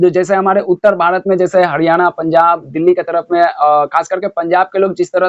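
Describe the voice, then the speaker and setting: A high-pitched male voice, dry and close with no echo. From Kolkata, India (Bihari family). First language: Bhojpuri (speaking Hindi). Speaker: reaction video commentator. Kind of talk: reaction commentary.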